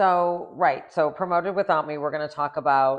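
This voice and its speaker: Fairly even intonation from a woman with a very deep, low pitch. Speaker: tennis podcast co-host. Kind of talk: casual chat. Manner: chatty, with fillers.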